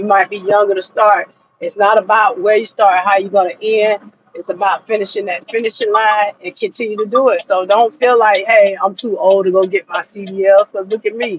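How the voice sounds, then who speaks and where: A woman with an American accent and an ordinary speaking voice, medium-pitched and fairly even in intonation, at a fairly quick pace, dry and close with no echo. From Florida. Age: 40s. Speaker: truck driver. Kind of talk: casual vlog advice talk.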